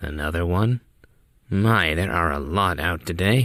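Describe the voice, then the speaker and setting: A raspy, put-on character voice. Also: man, very deep, low pitch for a man, moderate pace. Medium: read story. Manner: dry, somewhat formal.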